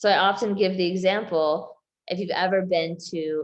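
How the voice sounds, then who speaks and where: She has a normal speaking voice, pitched fairly low for a woman. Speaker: health coach. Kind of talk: group coaching session on video call.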